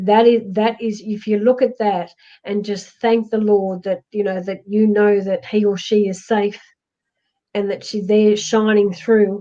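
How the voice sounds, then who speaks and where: A woman speaks at medium pitch with a dark, mellow tone. Her pace is fairly slow and her intonation monotone and flat. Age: 60s. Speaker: psychic medium. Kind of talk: spiritual reading to viewer. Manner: halting.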